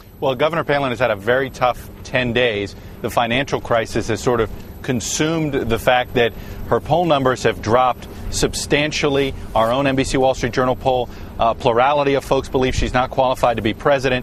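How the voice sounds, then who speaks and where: Over noticeable background noise, a man talks at a fairly quick pace and medium pitch. His intonation stays fairly even and his loudness very even. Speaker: TV news political director. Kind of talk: TV news analysis.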